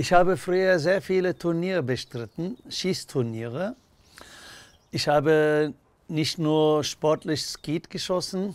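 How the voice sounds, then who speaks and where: A man with a Turkish accent, fairly high pitch, ordinary pitch variation and a very slow pace. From Turkey. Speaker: social worker. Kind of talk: interview answer. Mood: warm, proud.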